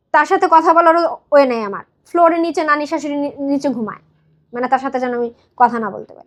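The speaker's intonation is lively, with big swings in loudness. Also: woman, high pitch for a woman. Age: 30s. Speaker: wife of a migrant worker sharing her marriage story. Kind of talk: personal testimony in an advice show.

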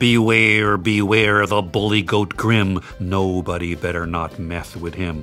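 A man uses a booming, put-on character voice with a very deep, low pitch at a fairly slow pace. Clear music plays in the background. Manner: menacing, bellowing.

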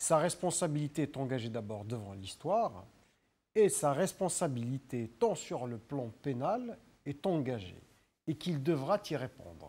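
Speaking at a fairly slow pace, a man uses a fairly high pitch with very wide swings, his tone dark, mellow and somewhat breathy. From Algeria. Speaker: pro-democracy activist; studio guest or commentator. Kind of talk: political talk show debate. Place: studio. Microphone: lapel.

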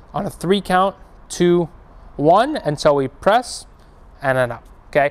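The speaker is a man. Ordinary variation marks his pitch. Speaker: fitness coach. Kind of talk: tutorial. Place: gym.

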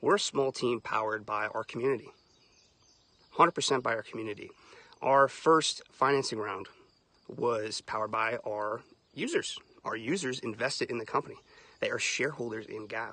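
The sound is dry, with no echo. A man speaks at a fairly quick pace. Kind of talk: casual livestream talk. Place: open country. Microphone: phone near.

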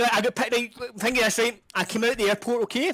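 In a strong Scottish accent, a man projects a raised voice at an extremely high pitch and a very fast pace, with ordinary pitch variation and a dry, close sound with no echo. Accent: thick Scottish. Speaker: gamer in voice chat. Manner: loud, excitable, shouts while telling stories.

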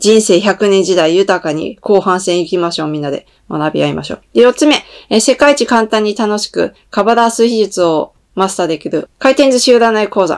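A woman at a moderate pace, lively in intonation, against a quiet background. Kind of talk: announcement monologue to viewers.

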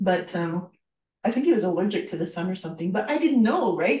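A woman with a Canadian accent, somewhat breathy and dark and mellow in tone, at a very fast pace amid audible room echo. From Canada. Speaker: guest. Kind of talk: presentation. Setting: video call. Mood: earnest, reflective. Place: home room. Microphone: webcam.

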